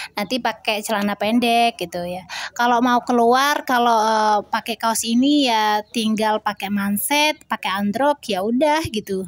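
A woman speaks in an unremarkable speaking voice at a fairly high pitch and a fairly slow pace, with ordinary pitch variation, hardly any pauses, and a dry sound with no echo. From Indonesia. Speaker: homemaker vlogger and Quran teacher for children; homemaker vlogger, Quran teacher for children. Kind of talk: casual vlog narration. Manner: friendly, chatty. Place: home room. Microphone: phone near.

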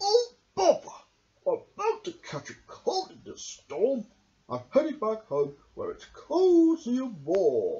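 In a put-on character voice pitched extremely high, a man talks at a fairly slow pace.

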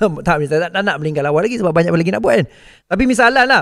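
Over a quiet background, a man talks at a very fast pace. His intonation is lively. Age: 40s. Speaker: forex trading coach. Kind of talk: motivational talk. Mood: earnest, heartfelt. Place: studio. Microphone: studio mic.

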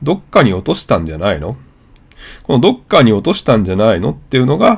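With vocal fry and a medium pitch, a man talks at a fairly quick pace. His pitch swings very widely. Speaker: YouTuber learning English. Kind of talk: vlog-style explanatory monologue.

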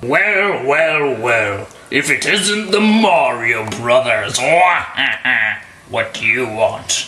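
In a put-on character voice, a man speaks very slowly at a fairly high pitch with very wide pitch swings and very even loudness, leaving long, frequent pauses. Clear background noise runs behind him. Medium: machinima. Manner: smug, sly.

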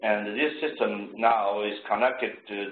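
Over light background noise and audible room echo, a man talks at a fairly slow pace in a fairly low voice with fairly even intonation. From China. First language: Chinese. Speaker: engineer; presenter. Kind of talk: presentation. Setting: video call. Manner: halting. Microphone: video call.

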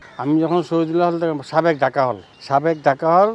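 This is a man talking. Clear background noise can be heard behind his words. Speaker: war eyewitness. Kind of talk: testimony.

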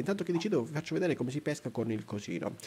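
Animated tone with very wide pitch swings. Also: man. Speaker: gaming YouTuber. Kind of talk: let's play commentary.

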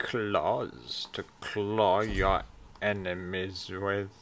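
Speaking very slowly, this man uses a put-on character voice. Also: fairly low pitch for a man. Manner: silly, put-on.

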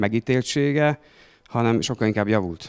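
An unremarkable speaking voice moves at a fairly quick pace with ordinary pitch variation. The background is quiet. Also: man. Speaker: school principal; speaker. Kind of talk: panel discussion. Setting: stage with audience. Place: cafe. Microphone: handheld.

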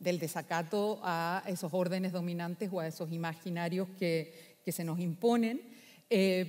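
Over a quiet background, a woman speaks at a fairly slow pace in a dark, mellow tone. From Chile, Valparaíso; Chile. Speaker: philosopher; speaker. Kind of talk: conference talk. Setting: stage with audience. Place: hall. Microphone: echo in the room; headset.

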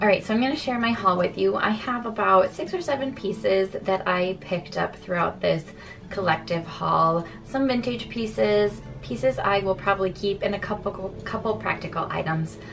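Speaking at a moderate pace with hardly any pauses, a woman talks over faint background music. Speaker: home decor vlogger. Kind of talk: casual vlog chat. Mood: cheerful, upbeat. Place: home room. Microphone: phone near.

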